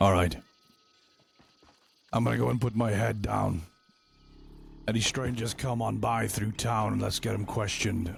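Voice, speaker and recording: A man puts on a raspy character voice, fairly low in pitch. He moves at a moderate pace with long, frequent pauses. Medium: game stream. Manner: world-weary.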